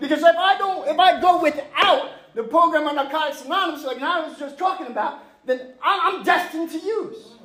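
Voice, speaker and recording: A passionate tone in a Long Island accent at a fairly quick pace, with audible room echo and noticeable background noise. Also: man. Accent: Long Island New York. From New York, Long Island (Mastic). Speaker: recovering addict, 12-step speaker. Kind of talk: recovery testimony. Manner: loud, passionate; fast.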